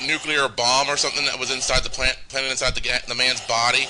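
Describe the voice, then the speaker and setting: Fairly quick pace with monotone, flat intonation. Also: man. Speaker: gaming let's play host. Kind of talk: casual game commentary. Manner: halting, many restarts.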